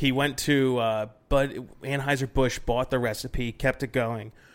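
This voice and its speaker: An unremarkable speaking voice at a fairly slow pace, with fairly even intonation, on a very clean recording with a silent background. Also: man. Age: 30s. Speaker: brewing podcast host. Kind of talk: casual chat.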